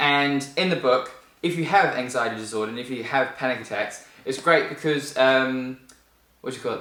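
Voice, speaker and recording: Noticeable background noise and audible room echo behind a moderate pace and lively intonation. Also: man. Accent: New Zealand. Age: 20s. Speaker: vlogger. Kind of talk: casual book review vlog.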